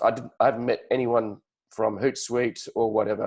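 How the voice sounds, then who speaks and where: A man with an Australian accent at a medium pitch, in a monotone, flat delivery. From Australia, Sydney. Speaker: podcast host. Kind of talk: interview.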